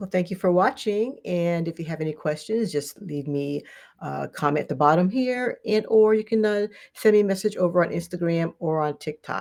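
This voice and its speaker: A woman's plain, everyday voice, fairly low in pitch, with lively intonation at a moderate pace, in a very clean recording with a silent background. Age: 60s. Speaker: channel host and co-author. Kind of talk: live interview.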